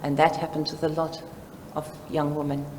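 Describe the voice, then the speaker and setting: In a South African accent, the speaker is heard with audible room echo. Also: woman. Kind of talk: conference presentation. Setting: seminar with live audience.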